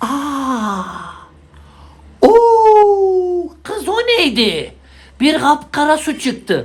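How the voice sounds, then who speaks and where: A woman speaks very slowly in a high, put-on character voice, with very wide pitch swings and long, frequent pauses. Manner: astonished, exclaiming.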